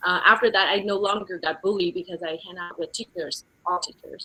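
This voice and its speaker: The speaker is a woman with a Vietnamese accent. Her intonation is flat and monotone. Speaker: real estate executive. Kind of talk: interview testimony. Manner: halting, many fillers.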